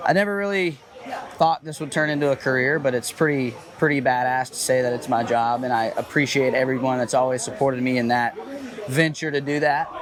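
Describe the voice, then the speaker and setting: A man with an American accent, medium in pitch with ordinary pitch variation, at a fairly quick pace over noticeable background noise. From US South, Georgia. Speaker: professional RC racer. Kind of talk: interview.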